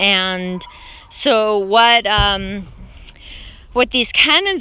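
A woman speaks at a very slow pace with a bright, sharp tone. Faint background noise sits behind her.

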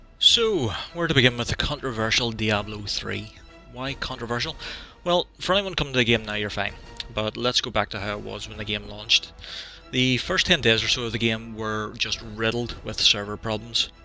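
Over faint background music, a man talks at a moderate pace with ordinary pitch variation in a dry sound with no echo. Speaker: video game reviewer. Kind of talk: video game review narration. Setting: home recording, lower-quality microphone.

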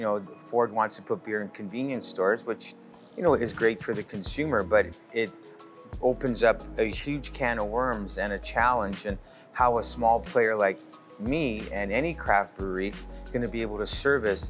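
A man talks at a moderate pace while clear music plays behind him. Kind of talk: interview answer. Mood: earnest, concerned about business. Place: bar.

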